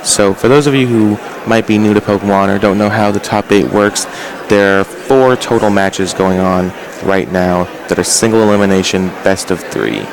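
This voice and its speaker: Noticeable background noise sits behind a man's voice. His loudness stays very even. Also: fairly low pitch for a man, fairly even intonation, moderate pace. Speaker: Pokemon tournament commentator. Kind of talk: sports-style tournament commentary.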